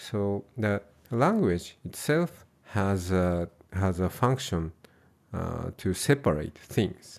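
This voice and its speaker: This man speaks with a Japanese accent at a very slow pace and a fairly low pitch. His intonation is lively, and the recording is very clean with a silent background. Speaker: Buddhist monk and translator. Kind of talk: interview conversation. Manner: halting, many fillers.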